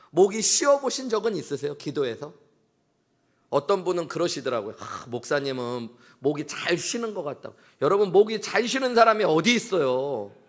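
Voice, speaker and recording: The pitch swings very widely. The tone is animated. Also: man, high pitch for a man, moderate pace. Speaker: pastor. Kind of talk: sermon. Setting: church.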